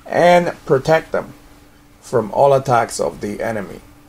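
A man speaks over noticeable background noise. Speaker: prayer leader of a religious order's radio ministry. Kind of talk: fervent intercessory prayer, petitioning God for the persecuted and clergy. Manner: earnest, pleading cadence with repeated invocations of Heavenly Father; slips into casual, rambling asides when giving practical instructions.

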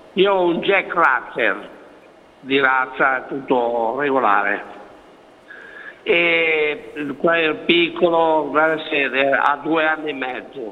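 A man speaks at a very slow pace with long, frequent pauses. His pitch variation is ordinary. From Milan area, Italy; Italy. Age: 70s. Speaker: caller; guest. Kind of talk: phone-in question. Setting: phone call. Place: studio. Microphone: lapel.

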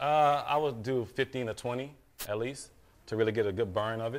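A man talks at a fairly quick pace, his medium-pitched voice moving with ordinary pitch variation.

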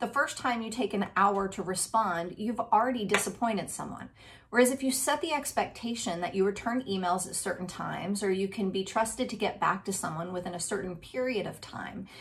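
Upbeat in tone, a woman talks at a fairly quick pace with hardly any pauses and ordinary pitch variation. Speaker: resilience speaker. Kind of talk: motivational talk to camera. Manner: upbeat, conversational. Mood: warm, encouraging. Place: home room. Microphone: webcam.

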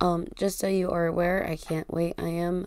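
At a fairly slow pace, a woman speaks in a dark, mellow tone. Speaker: tarot reader. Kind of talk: casual tarot reading chat. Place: home room. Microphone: studio mic.

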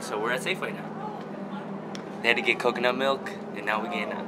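Music plays behind a man talking at a very fast pace. His pitch variation is ordinary. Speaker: vlogger. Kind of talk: casual vlog chat. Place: shop. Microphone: phone near.

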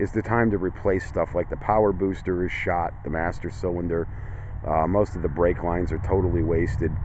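A man speaks with a very deep, low pitch. The sound is dry with no echo, and there is noticeable background noise. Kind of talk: casual vlog commentary. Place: open country. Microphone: phone near.

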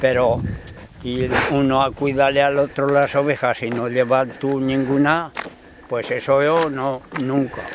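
Noticeable background noise sits under a dry sound with no echo. A man speaks fairly slowly in a flat monotone, with long, frequent pauses. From Spain. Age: old. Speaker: retired shepherd. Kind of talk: casual chat. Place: open country.

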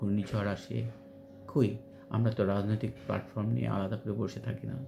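A man's voice over noticeable background noise. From rural Bangladesh. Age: 50s. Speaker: educator and writer. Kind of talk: monologue vlog. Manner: halting with frequent pauses.

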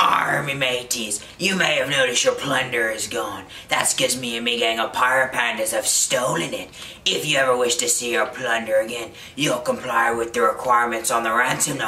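Someone does a put-on character voice at a low-to-middle pitch. The pace is fairly quick, with clear background noise. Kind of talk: comic pirate overacting. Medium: comedy sketch. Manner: gloating, theatrical.

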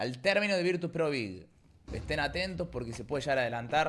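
The voice moves at a fairly quick pace with lively intonation, and light background noise is present. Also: man. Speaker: esports commentator and streamer. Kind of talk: live esports play-by-play commentary, rapid-fire and hyped. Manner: informal, slangy, chatty with the audience. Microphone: headset.

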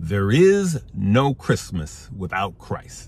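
Somewhat breathy, a man speaks very slowly with lively intonation in a dry sound with no echo. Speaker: investing channel host. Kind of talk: casual vlog chat. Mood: earnest, upbeat, then preachy. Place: car. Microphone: phone near.

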